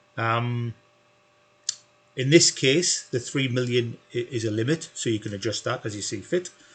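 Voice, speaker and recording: A somewhat breathy man speaks at a moderate pace and medium pitch, with ordinary pitch variation. Long pauses come often. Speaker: spreadsheet tutor. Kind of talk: tutorial. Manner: hesitant with fillers.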